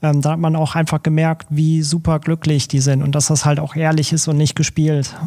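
At a moderate pace, a man speaks in a dark, mellow tone with monotone, flat intonation and very even loudness. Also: fairly high pitch for a man. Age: 30s. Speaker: photographer. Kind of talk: podcast interview.

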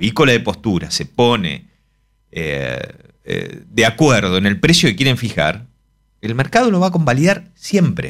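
A man with vocal fry talks at a moderate pace, his pitch swinging very widely. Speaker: economist. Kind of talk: casual chat.

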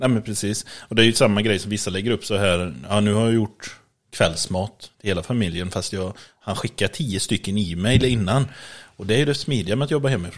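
In a very clean recording with a silent background, a man with an ordinary speaking voice talks at a fairly quick pace, his fairly low pitch showing ordinary pitch variation. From western Sweden, Borås. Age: 30s. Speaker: podcast co-host. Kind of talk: casual chat. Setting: at co-host's home.

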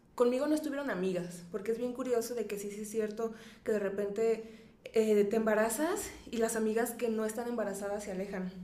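Here a woman talks at a fairly quick pace and a fairly high pitch, with ordinary pitch variation. Audible room echo surrounds her voice. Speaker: psychologist and sex educator. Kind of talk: interview.

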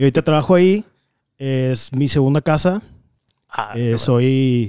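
A man with a dark, mellow, medium-pitched voice speaks fairly slowly in a dry, close recording with no echo. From Laredo, Texas border. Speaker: graphic designer. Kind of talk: casual chat.

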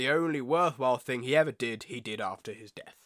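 Talking very fast, a man with a British accent uses ordinary pitch variation. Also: very clean recording, silent background. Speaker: podcast host. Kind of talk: casual chat.

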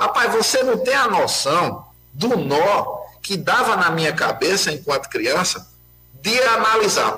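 Audible room echo and clear background noise surround a man who talks fairly slowly. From Pernambuco, Brazil. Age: 40s. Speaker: municipal security council president. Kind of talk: casual chat. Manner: animated.

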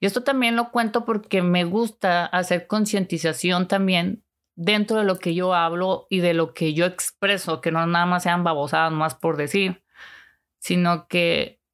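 A woman at a fairly slow pace with very even loudness and ordinary pitch variation, in a very clean recording with a silent background. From Mexico, Chihuahua city. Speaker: online psychic and self-help streamer. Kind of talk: personal monologue livestream. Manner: animated, conversational with fillers.

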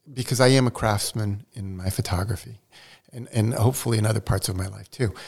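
A man speaks at medium pitch with ordinary pitch variation. His voice sounds somewhat breathy. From Brazil, raised in the US from age seven. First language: Portuguese. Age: 70s. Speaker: photographer and artist. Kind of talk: podcast interview.

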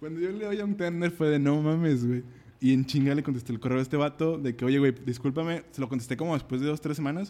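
This voice has a dark, mellow tone and ordinary pitch variation, and it moves at a very fast pace. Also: man, fairly high pitch for a man. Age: 20s. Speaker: musician. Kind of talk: casual chat.

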